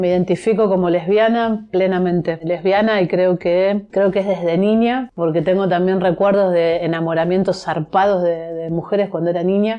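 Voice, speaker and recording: In an ordinary speaking voice, a woman talks at a moderate pace and medium pitch with fairly even intonation and hardly any pauses. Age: 60s. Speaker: journalist and activist. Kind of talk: interview.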